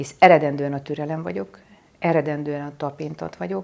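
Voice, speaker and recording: A woman with a very deep, low pitch at a moderate pace, on a very clean recording with a silent background. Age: 60s. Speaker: spiritual teacher. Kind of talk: spiritual talk. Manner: hesitant, with many filler sounds.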